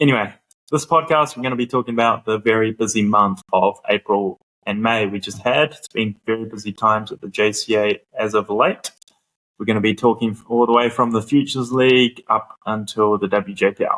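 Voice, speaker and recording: In a New Zealand accent, the speaker goes at a fairly quick pace with fairly even intonation, the sound dry and close with no echo. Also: man, medium pitch for a man. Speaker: podcast host. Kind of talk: casual chat. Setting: classroom at a cricket ground.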